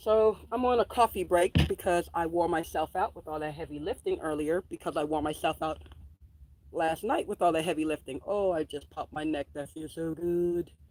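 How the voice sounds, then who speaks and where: A woman with a New York accent speaks at a fairly low pitch and moderate pace with ordinary pitch variation. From New York City, Queens. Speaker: homesteader and farm vlogger. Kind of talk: casual vlog chat. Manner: animated.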